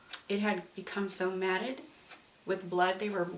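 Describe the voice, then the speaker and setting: Medium pitch from a woman, flat monotone delivery at a moderate pace, with noticeable background noise. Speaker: domestic violence survivor. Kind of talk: testimony. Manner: halting.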